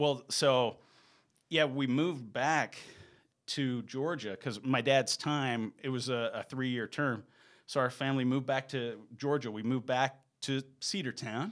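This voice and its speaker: In an American accent, a normal speaking voice moves at a fairly slow pace with fairly even intonation on a very clean recording with a silent background. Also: man, medium pitch for a man. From US South. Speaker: real estate broker. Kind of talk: casual chat.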